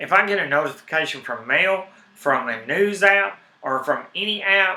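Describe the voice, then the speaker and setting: In a strong Southern US accent, a man uses a raised, projected voice at a high pitch with lively intonation and a moderate pace. Noticeable background noise is present. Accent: heavy Southern US. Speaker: tech and gaming streamer. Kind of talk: casual live stream talk. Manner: animated.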